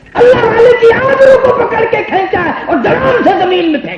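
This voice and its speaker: Against noticeable background noise, a man talks in an extremely high voice. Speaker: Islamic preacher giving a sermon. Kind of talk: Urdu religious sermon (bayan). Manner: emotional, storytelling.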